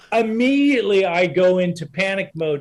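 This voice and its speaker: A man talks in a high pitch. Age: 60s. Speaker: guest speaker on overcoming dyslexia. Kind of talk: casual interview storytelling. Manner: repetitive false starts.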